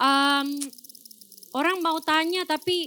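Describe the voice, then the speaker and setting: A woman speaks in a raised, projected voice at a fairly slow pace. Noticeable background noise runs underneath. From Malaysia. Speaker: doctor. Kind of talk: talk to audience. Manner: code-switching with fillers.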